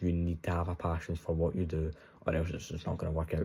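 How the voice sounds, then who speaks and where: A dark, mellow voice with a Scottish accent, somewhat breathy, moves at a fairly quick pace in a very clean recording with a silent background. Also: man. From Scotland. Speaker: trading content creator. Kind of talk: casual vlog monologue. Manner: animated.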